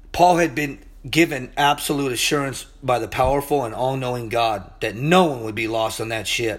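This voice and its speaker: An animated tone from a man at a moderate pace, ordinary pitch variation, and audible room echo. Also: medium pitch for a man. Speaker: Bible teacher. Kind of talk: sermon.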